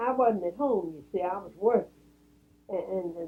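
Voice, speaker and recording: A woman talks at a moderate pace with a Southern US accent. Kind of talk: interview answer.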